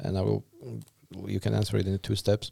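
With a Slovak accent, a man speaks in a dark, mellow tone, the sound dry and close with no echo. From Slovakia. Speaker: podcast host. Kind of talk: casual interview.

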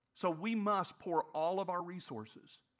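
A man's animated voice in a very clean recording with a silent background. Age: 60s. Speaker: pastor. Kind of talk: sermon. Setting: church.

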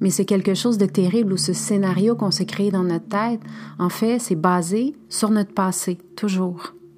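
Over noticeable background noise, a woman with a Spanish accent speaks fairly slowly at a medium pitch with ordinary pitch variation. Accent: Spanish-tinged French. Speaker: spiritual podcast host. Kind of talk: spiritual monologue.

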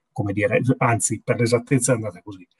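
A man is heard talking. No echo is present, and the sound is dry and close. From Piedmont, Italy. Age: 40s. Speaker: business executive. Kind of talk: interview.

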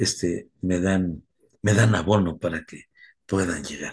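A man's very deep, low voice, somewhat breathy, with ordinary pitch variation at a moderate pace. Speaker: recovery sponsor. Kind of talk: talk.

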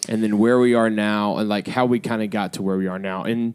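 This man has an ordinary speaking voice, fairly low in pitch, with fairly even intonation and a moderate pace. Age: 30s. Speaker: pastor and family podcast host. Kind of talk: casual family chat.

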